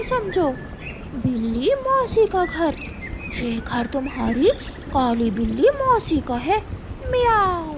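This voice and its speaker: A woman performs a cartoonish character voice at a fairly slow pace, with very wide pitch swings. Clear background noise is present. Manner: meowing, sugary-sweet yet sly.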